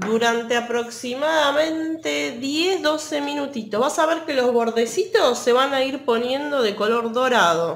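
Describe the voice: A woman speaks slowly in a high voice with a fairly bright tone.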